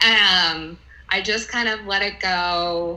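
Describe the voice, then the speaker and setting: Audible room echo follows a woman whose fairly low voice keeps fairly even intonation. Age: 30s. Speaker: interviewee sharing egg freezing experience. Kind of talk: casual interview.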